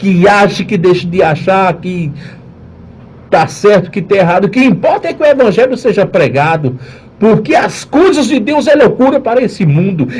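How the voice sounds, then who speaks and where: A man with a high voice and very wide pitch swings speaks at a moderate pace amid audible room echo and noticeable background noise. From Northeast Brazil. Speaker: pastor. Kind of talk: radio sermon.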